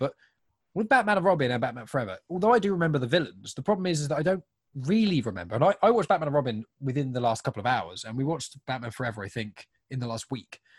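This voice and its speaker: Fairly high, somewhat breathy male voice racing at a very fast pace with very wide pitch swings, in a dry, close sound with no echo. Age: 20s. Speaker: podcast co-host. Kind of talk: casual chat.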